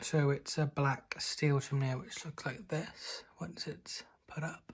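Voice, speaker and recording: A man with a British accent, fairly high-pitched and somewhat breathy, at a very slow pace with ordinary pitch variation. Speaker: lifestyle vlogger. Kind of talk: casual vlog talk.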